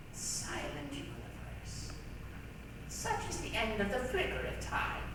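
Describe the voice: A woman's put-on character voice, high-pitched and slow, with very wide pitch swings, plus audible room echo and clear background noise.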